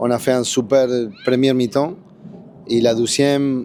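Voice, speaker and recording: A man talks with a Spanish accent and fairly even intonation. Noticeable background noise runs underneath. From Argentina. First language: Spanish (speaking French). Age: 60s. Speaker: football coach, former pro player. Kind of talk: post-match interview. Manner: halting, repeats words.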